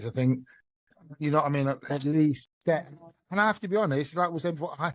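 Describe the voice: A man at a fast pace, fairly high in pitch, with ordinary pitch variation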